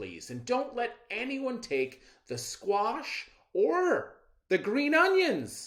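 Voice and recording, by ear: A put-on character voice bellows at a slow pace, with very wide pitch swings and a fairly bright tone.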